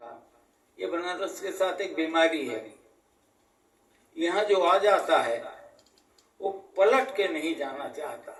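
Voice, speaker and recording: With a Varanasi accent, a man speaks at a high pitch. His intonation is lively, broken by long, frequent pauses. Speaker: local history expert. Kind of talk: interview answer.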